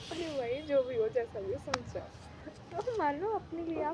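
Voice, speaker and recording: Noticeable background noise sits behind a woman with a high voice and very wide pitch swings. She speaks at a fairly slow pace in an animated tone. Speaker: vlogger. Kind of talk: casual vlog monologue. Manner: animated, chatty.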